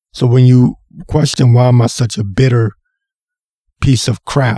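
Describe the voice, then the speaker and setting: The man's voice is dark, mellow and somewhat breathy, at a medium pitch and a fairly slow pace. It sounds dry and close, with no echo. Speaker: podcast host. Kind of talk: solo podcast rant. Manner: animated.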